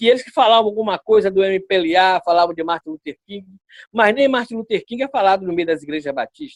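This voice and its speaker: Recorded with a dry, close sound and no echo, a man with a high voice speaks at a fairly quick pace, with lively intonation and big swings in loudness. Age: 60s. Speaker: pastor. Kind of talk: interview.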